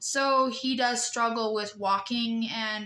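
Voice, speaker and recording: A woman speaks with a bright, sharp tone at a fairly high pitch. Her intonation is fairly even. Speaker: vlogger. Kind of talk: casual vlog monologue. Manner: halting, many fillers and restarts.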